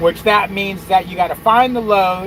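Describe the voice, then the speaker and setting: Noticeable background noise sits behind the speaker. He is a man with a high voice. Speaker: truck driver youtuber. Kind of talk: casual livestream chat.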